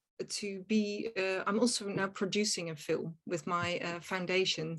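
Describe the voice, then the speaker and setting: Using a Dutch accent, a woman of medium pitch speaks at a very slow pace with ordinary pitch variation. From Netherlands. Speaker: actress and film producer. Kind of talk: interview conversation. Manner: hesitant, searching for words.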